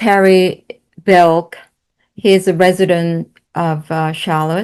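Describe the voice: A woman speaks slowly in a fairly low pitch, her intonation fairly even and her tone clear, smooth and slightly mellow.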